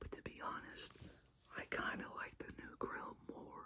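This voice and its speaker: A man whispers in a relaxed tone. His pace is moderate. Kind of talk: casual talk to camera about cars. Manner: whispered, relaxed.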